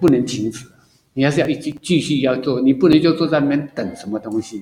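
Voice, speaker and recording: A man speaks with a fairly high pitch and ordinary pitch variation. His tone is dark and mellow. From Taiwan, Taipei. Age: 60s. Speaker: retired civil servant, amateur trumpeter. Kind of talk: casual interview. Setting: outdoors.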